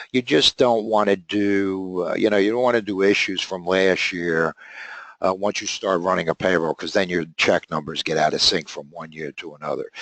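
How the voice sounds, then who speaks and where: Recorded with a dry, close sound with no echo, a man speaks in a very deep, low pitch at a moderate pace with ordinary pitch variation. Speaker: software trainer. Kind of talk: webinar tutorial. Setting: webinar.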